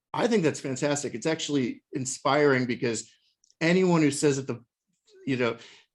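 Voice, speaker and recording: At a moderate pace, a man talks with a fairly high pitch. His pitch variation is ordinary. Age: 50s. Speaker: interviewer. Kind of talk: interview. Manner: halting.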